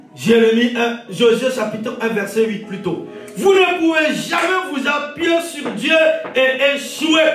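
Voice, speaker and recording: Over music in the background, a man speaks at an extremely high pitch with lively intonation and a very slow pace. The room echo is audible. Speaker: pastor. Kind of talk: sermon.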